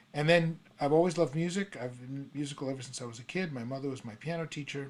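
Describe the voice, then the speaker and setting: A man with an American accent talks at a fairly quick pace in an ordinary speaking voice, his pitch varying an ordinary amount. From New York City. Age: 60s. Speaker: songwriter and retired prosecutor's office worker. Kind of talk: interview conversation.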